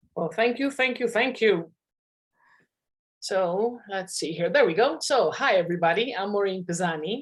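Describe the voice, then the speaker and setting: A woman with a Maltese accent speaks at a moderate pace with lively intonation. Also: medium pitch for a woman. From Malta. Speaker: hypnotherapist and networking expert. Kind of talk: panel talk on networking.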